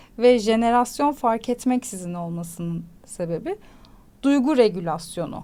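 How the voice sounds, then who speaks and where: Dark and mellow in tone, a woman's voice moves at a fairly slow pace with very wide pitch swings. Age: 30s. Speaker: psychology commentator, mother. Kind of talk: casual chat.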